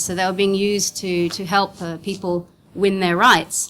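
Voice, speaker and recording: With an Australian accent, a woman talks at a medium pitch. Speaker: legal counsel and NGO director. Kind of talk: conference presentation. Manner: fast.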